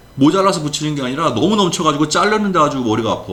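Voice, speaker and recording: A man speaks with audible room echo around him. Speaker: professor. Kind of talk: lecture. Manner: fast.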